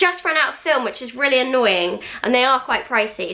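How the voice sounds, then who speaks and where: A woman uses a raised, projected voice at a high pitch, with lively intonation. She talks at a fairly quick pace over noticeable background noise. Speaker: parenting and lifestyle blogger. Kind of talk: casual talk to camera. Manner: upbeat.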